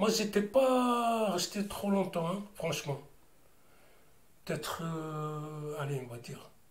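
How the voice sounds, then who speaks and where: With audible room echo, a man talks at a very slow pace in a high pitch, his intonation lively, his loudness swinging widely, and his speech broken by long, frequent pauses. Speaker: interviewee sharing life story. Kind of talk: testimony. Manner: loud, sounds angry though not; hesitant, repetitive casual speech.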